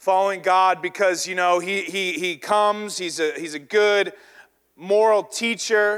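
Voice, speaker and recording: This man talks at a fairly slow pace with an American accent. His pitch is high and his intonation fairly even. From US South. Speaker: pastor. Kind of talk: sermon.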